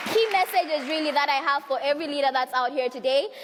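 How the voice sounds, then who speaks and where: Over noticeable background noise, a woman speaks very fast in a high pitch with a passionate tone. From Zambia. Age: young. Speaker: youth and women's rights activist. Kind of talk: conference speech. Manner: passionate, forceful.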